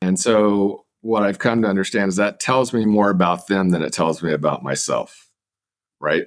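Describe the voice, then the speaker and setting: A man with an ordinary speaking voice, fairly low pitch, ordinary pitch variation, moderate pace and very even loudness. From Kansas, US Midwest. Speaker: professor. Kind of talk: interview. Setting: remote call from Japan.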